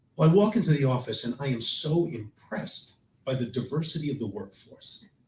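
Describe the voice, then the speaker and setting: Somewhat breathy and fairly high in pitch, a man speaks with lively intonation. His pace is fairly quick. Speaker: storyteller and performer. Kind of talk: personal storytelling on stage. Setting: live stage with audience.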